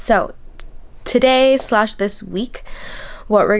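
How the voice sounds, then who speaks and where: Noticeable noise fills the background as this woman talks at a moderate speed. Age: 20s. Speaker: book reviewer. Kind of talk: casual talk to camera, reading vlog.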